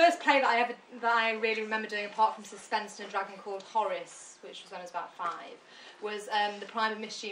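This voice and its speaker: In a northern British accent, a woman with a medium-pitched voice speaks very fast with fairly even intonation, amid noticeable background noise and audible room echo. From northern England, born in Glasgow. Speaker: performer reading at an arts salon. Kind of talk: casual spoken introduction.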